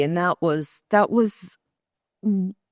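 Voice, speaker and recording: A woman talks in a normal speaking voice with ordinary pitch variation. Her pace is fairly slow. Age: 60s. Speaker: patient. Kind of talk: testimony.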